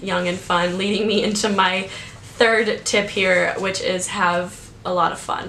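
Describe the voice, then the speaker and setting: Against noticeable background noise and audible room echo, a woman talks at a fairly slow pace. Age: 20s. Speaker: YouTuber giving advice. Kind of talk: casual vlog. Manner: loud; animated.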